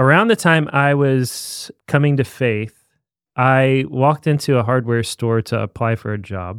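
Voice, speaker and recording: In a very clean recording with a silent background, a man talks at medium pitch in an ordinary speaking voice with ordinary pitch variation. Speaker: podcast co-host. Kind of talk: casual chat.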